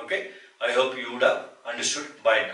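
A man speaks against a quiet background with audible room echo. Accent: Indian. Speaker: numerology teacher. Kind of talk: tutorial. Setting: solo video recording. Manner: slow. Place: home room. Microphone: camera far.

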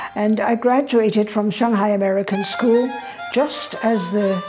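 Clear music plays in the background as a woman talks in a fairly high pitch. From Shanghai, China. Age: 80s+. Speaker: interviewee recalling history. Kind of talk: interview answer. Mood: earnest, warm reminiscing. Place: home room. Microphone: lapel.

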